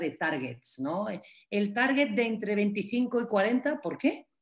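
Against a quiet background, a woman speaks very slowly and somewhat breathily at a fairly high pitch, with lively intonation. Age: 40s. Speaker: cultural manager and innovation consultant; workshop instructor. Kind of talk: online masterclass lecture. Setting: video call. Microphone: video call.

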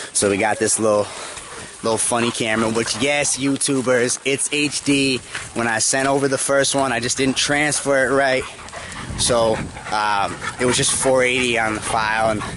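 A man talks at a moderate pace with fairly even intonation and very even loudness, the sound dry with no echo and noticeable noise behind him. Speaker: dog trainer vlogger. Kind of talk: casual vlog chat. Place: open country. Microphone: phone near.

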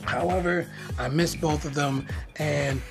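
Speech at a moderate pace, with clear music in the background. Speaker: tech reviewer. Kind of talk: casual product review. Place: home room. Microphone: phone near.

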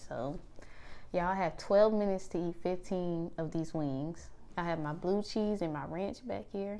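A woman has a plain, everyday voice with a fairly low pitch. She keeps a moderate pace and fairly even intonation. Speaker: food vlogger. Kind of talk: casual vlog chat. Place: home room. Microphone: lapel.

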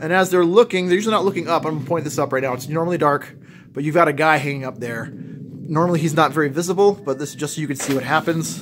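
Very fast speech from a man, light background noise behind him. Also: ordinary pitch variation. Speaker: haunt creator giving a tour. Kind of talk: casual tour commentary. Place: garage. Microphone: phone near.

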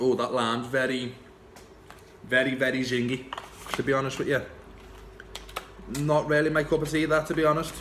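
A man talks fairly quickly in a Liverpool accent, with monotone, flat intonation. He takes long, frequent pauses over light background noise. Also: medium pitch for a man. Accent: Scouse. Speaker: vape shop owner and vape reviewer. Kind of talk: casual unboxing talk to camera. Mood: relaxed, chatty. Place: shop. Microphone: phone near.

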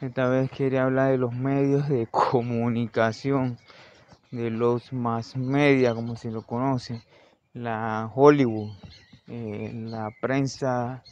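A man speaks very slowly at a medium pitch. His intonation is monotone and flat. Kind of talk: improvised opinion monologue.

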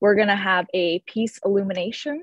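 The woman talks at a moderate pace. The background is quiet, and the sound is dry with no echo. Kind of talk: keynote talk on a video call. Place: home room. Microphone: video call.

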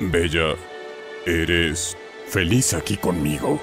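Over faint music in the background, a man uses a cartoonish character voice, low in pitch with a fairly bright tone, ordinary pitch variation and a slow pace.

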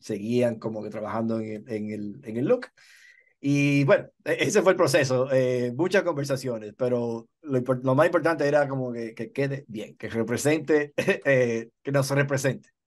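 Against a quiet background, a man speaks at a fairly slow pace with ordinary pitch variation and big swings in loudness. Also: medium pitch for a man. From Dominican Republic. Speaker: TV director. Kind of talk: interview. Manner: halting, many fillers.

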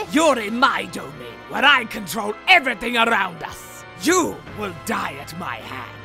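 A man puts on a character voice, pitched high. He keeps a moderate pace while clear music plays in the background. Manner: menacing.

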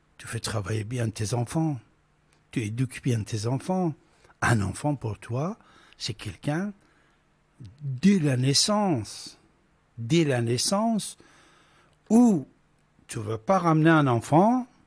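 A man talks at a very slow pace with long, frequent pauses, a somewhat breathy voice, very wide pitch swings and big swings in loudness. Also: medium pitch for a man. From Iran. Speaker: radio host. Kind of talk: call-in talk radio. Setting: studio. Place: studio. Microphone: studio mic.

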